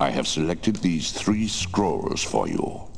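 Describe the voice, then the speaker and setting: Over clear background noise, a man puts on a character voice with a very deep, low pitch at a fairly slow pace. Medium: video game. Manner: solemn, measured.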